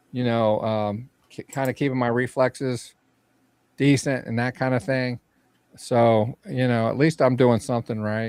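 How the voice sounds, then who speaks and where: This is a normal speaking voice, a man at medium pitch with fairly even intonation. He goes at a fairly slow pace, in a dry, close sound with no echo. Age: 60s. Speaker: retro gaming show co-host. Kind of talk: casual chat.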